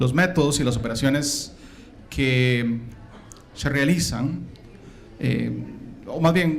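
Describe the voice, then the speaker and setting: Recorded with audible room echo, a man speaks in a Costa Rican accent with ordinary pitch variation. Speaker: conference speaker, systems engineer. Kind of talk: conference talk. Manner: hesitant, many fillers.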